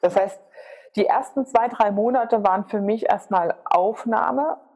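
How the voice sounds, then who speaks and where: The pace of this woman's speech is moderate. Her pitch shifts in an ordinary way. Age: 30s. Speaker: business consultant. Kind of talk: interview. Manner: animated.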